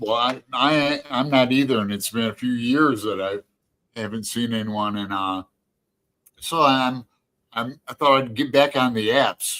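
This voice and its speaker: The voice has a bright, sharp tone. It moves at a fairly slow pace with ordinary pitch variation. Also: man, medium pitch for a man. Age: 60s. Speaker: live stream show host. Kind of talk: casual chat. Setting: live stream. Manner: halting.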